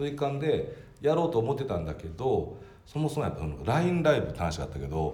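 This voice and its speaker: Amid audible room echo, a man speaks very fast in a somewhat breathy voice with a dark, mellow tone and very wide pitch swings. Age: 40s. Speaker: company president. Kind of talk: casual chat.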